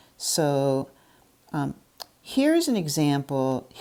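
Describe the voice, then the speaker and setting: This woman has a very deep, low voice and lively intonation. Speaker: logic lecturer. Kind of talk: lecture. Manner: halting, many fillers.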